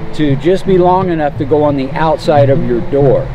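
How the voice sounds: A man's fairly high voice at a moderate pace, with ordinary pitch variation and clear music in the background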